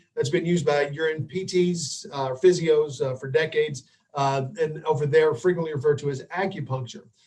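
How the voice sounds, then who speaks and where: A man talks fairly quickly in a fairly high, somewhat breathy voice. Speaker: physical therapist and dry needling instructor. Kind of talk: webinar lecture. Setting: live online webinar. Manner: hesitant, many fillers.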